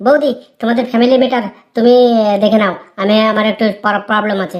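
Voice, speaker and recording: In a cartoonish character voice, a woman talks at a fairly quick pace, her fairly high pitch held to a fairly even intonation. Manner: stammering when frightened.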